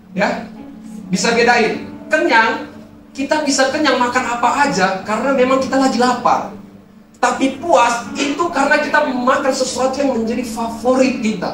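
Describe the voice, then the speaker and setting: A man with an extremely high pitch talks in an animated tone at a moderate pace, with audible room echo and music in the background. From Medan, North Sumatra, Indonesia. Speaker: youth pastor. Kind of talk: sermon. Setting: church stage with audience.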